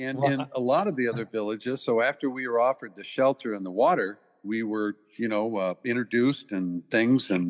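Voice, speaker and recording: A man with a plain, everyday voice, medium pitch and ordinary pitch variation at a fairly quick pace, dry and close with no echo over a quiet background. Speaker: volunteer who travelled to the village. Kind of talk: interview.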